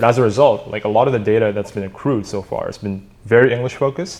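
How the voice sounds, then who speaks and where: The speaker talks at a very fast pace with an Indonesian accent. The intonation is fairly even. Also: man. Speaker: startup co-founder. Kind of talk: podcast interview.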